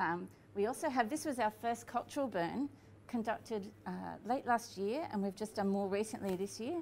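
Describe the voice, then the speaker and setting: A woman at a moderate pace, lively intonation over light background noise. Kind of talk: casual explanation to camera. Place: cafe.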